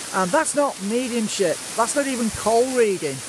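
Noticeable background noise sits under a man speaking at a moderate pace with ordinary pitch variation, the sound dry with no echo. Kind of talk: casual vlog chat. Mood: critical, indignant. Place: waterside. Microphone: phone near.

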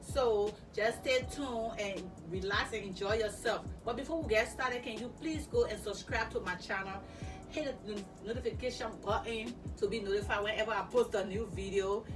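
Over clear background music, a woman talks at a moderate pace with ordinary pitch variation. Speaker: fashion vlogger. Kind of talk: casual vlog chat. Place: home room. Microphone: camera far.

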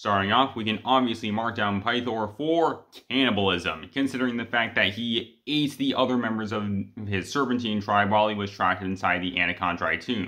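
A man's fairly low-pitched voice at a fairly quick pace, with ordinary pitch variation and a quiet background. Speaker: fan video creator. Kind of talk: commentary. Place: home room. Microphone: phone near.

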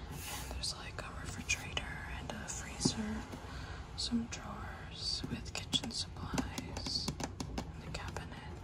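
Soft-spoken whispering at a fairly slow pace over loud background noise. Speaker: toy reviewer. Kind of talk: unboxing narration. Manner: soft ASMR whisper. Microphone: phone near.

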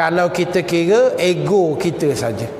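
A man with a Malaysian accent speaks at a high pitch amid audible room echo and light background noise. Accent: Malaysian Malay. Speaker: Islamic teacher. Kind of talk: religious lecture. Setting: live lecture to women audience with microphone. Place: hall. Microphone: lapel.

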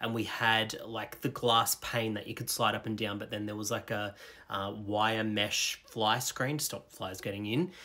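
A man with an Australian accent and a fairly low voice speaks at a moderate pace in a bright, sharp tone with fairly even intonation. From rural Australia. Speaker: storyteller. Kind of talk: personal storytelling. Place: home room. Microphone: phone near.

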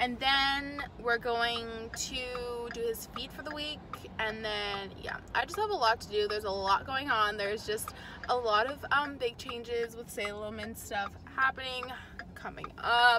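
The pace is fairly slow, with ordinary pitch variation. Background noise is clearly audible. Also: woman, fairly high pitch for a woman.

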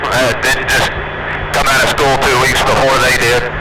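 A man talks fairly quickly against loud background noise. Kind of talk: interview answer. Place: car.

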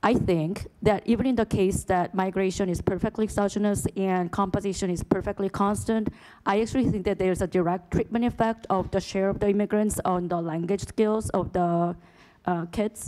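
Her tone is dark and mellow, with a Korean accent. The woman speaks at a fairly quick pace with fairly even intonation. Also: quiet background. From South Korea. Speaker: economist, conference participant. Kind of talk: academic Q&A comment; panel discussion comment. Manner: halting, many fillers. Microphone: podium.

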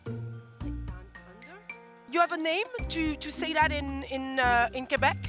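With clear music in the background, a woman with a French accent speaks in a dry sound with no echo. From France. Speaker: comedian. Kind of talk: street interview host. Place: street. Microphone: handheld.

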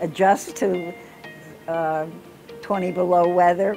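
Clear music plays behind a woman with an American accent and a medium pitch. She speaks at a fairly slow pace with fairly even intonation. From Florida. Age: 80s+. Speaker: university graduate; interviewee. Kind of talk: interview. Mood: warm, reflective. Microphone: lapel.

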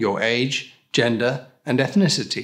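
The background is quiet while a man talks. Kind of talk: scripted explainer. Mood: calm, reassuring. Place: studio.

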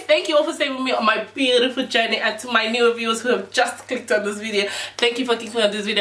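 Room echo can be heard as a woman talks. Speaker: beauty vlogger. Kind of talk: channel intro to camera. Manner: upbeat. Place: home room. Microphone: camera far.

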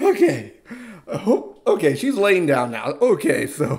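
Speaking fairly slowly with lively intonation, a man has a slightly mellow tone.

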